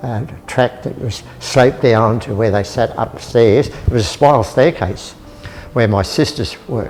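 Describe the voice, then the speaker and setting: Music plays in the background as a man with an Australian accent speaks at a fairly slow pace. His medium pitch shows ordinary variation. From Australia, northern New South Wales. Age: 90s. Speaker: elderly local resident sharing memories. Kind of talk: casual reminiscing walk-through. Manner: halting.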